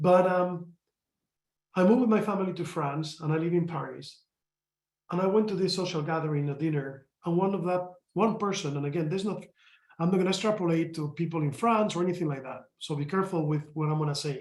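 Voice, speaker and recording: Speaking very fast with a Spanish accent, a man with a high pitch shows ordinary pitch variation amid audible room echo. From Spain. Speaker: company executive. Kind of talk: panel discussion.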